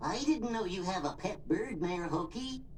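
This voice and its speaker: A cartoonish character voice at a middle pitch speaks at a moderate pace over clear background noise. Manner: meek, polite.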